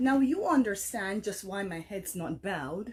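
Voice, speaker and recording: Lively intonation in a woman's somewhat breathy voice. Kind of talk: poetry reading. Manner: dynamic, compelling.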